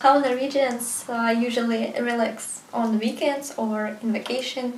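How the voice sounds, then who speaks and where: A woman's high, monotone, flat voice with a Russian accent at a fairly slow pace, amid noticeable background noise and audible room echo. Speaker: video blogger. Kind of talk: interview. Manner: halting.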